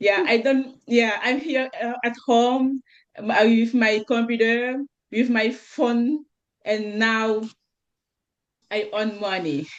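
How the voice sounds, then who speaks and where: A woman's fairly high voice at a very slow pace, with long, frequent pauses and ordinary pitch variation. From Senegal. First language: French. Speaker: network marketer. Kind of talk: panel discussion testimony. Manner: halting, searching for words.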